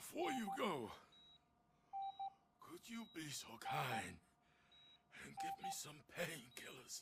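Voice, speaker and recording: Using a put-on character voice, a man speaks raspy and high-pitched at a fairly slow pace, with long, frequent pauses and big swings in loudness. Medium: video game.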